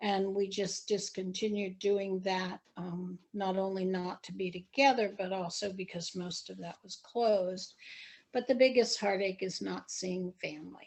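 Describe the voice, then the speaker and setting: Big swings in loudness mark a plain, everyday voice delivered at a fairly slow pace with fairly even intonation. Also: woman, medium pitch for a woman. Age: 60s. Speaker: interviewee in oral history. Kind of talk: oral history interview.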